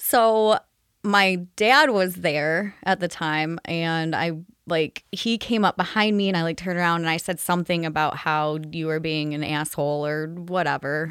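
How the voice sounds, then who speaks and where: A woman's plain, everyday voice, fairly low in pitch with ordinary variation, at a moderate pace on a very clean recording with a silent background. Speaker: guest. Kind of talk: casual chat.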